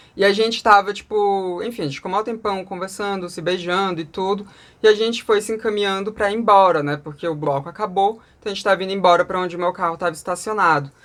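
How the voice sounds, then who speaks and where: This very clean recording has a silent background. The speech runs very fast with hardly any pauses. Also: woman. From Brasília, Brazil. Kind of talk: casual storytelling vlog. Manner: animated.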